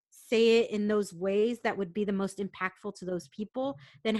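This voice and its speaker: A woman with an American accent speaks in an animated tone at a moderate pace and medium pitch. The sound is dry and close, with no echo. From San Diego, California. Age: 40s. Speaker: corporate professional. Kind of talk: casual interview conversation. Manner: loud, big personality; animated, laughing often.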